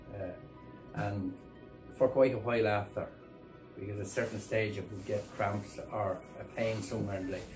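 Clear music plays in the background as a man speaks with a fairly low pitch. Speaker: farmer. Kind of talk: interview answer. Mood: content, relieved.

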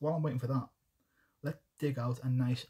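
A man's somewhat breathy, dark and mellow voice in a monotone, flat intonation, over a quiet background. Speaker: miniature painting streamer. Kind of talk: live stream tutorial. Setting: home desk, livestream. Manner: casual, chatty.

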